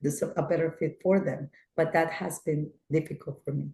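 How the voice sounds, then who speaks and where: A woman's somewhat breathy voice, fairly low in pitch with a dark, mellow tone. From Colombia. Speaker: company founder and CEO. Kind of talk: webinar interview Q&A. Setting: video webinar. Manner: hesitant, many fillers.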